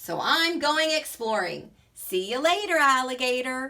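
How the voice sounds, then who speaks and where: Putting on a character voice, a woman projects a raised, high-pitched voice at a moderate pace, with very wide pitch swings. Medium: read story. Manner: friendly.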